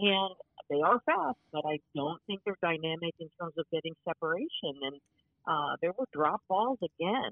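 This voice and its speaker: Pitch varies in an ordinary way as the speaker delivers words at a moderate pace. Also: woman, fairly low pitch for a woman. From US Midwest, Cincinnati, Ohio. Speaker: sports journalist, beat writer. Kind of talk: casual interview. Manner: halting, frequent repeated words and fillers.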